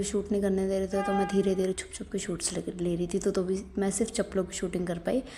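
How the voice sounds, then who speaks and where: The speaker sounds animated and somewhat breathy, talking at a fairly quick pace. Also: woman. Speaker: vlogger. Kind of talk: casual vlog narration. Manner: chatty, animated.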